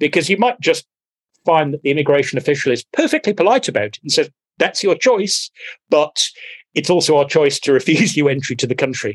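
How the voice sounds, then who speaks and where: Heard in a dry, close sound with no echo, a man with an ordinary speaking voice speaks at a fairly quick pace, with fairly high pitch and lively intonation. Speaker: podcast guest. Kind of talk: casual banter, comedic chat.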